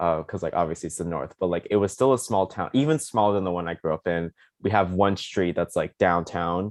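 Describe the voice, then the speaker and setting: A man talks at a fairly quick pace in a very deep, low pitch, with ordinary pitch variation. The sound is dry and close with no echo, over a quiet background. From US South, Charleston, South Carolina. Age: 20s. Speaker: content creator, college student. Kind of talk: interview. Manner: casual, filler-heavy.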